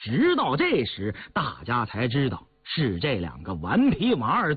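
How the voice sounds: Simply a natural reading voice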